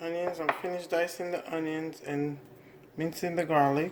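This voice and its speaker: A woman speaks quietly at a fairly slow pace and a fairly low pitch. Noticeable background noise runs under her voice. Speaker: home cooking channel host. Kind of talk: cooking tutorial. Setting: home kitchen. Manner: speaking quietly; casual, with fillers.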